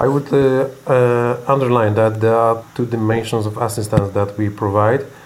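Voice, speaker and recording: With a Polish accent, a man talks at medium pitch in a monotone, flat intonation with hardly any pauses. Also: moderate pace. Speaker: medical center executive. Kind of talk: interview. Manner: halting.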